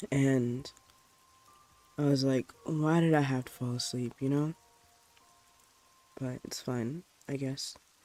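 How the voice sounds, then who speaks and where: With music in the background, a man in a fairly high pitch talks at a fairly slow pace with fairly even intonation and long, frequent pauses. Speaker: vtuber streamer. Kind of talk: casual stream chat before reading stories aloud. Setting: livestream with rain sounds. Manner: loud; hesitant, many fillers.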